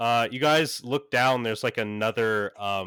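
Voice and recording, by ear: A passage is read aloud in a natural voice.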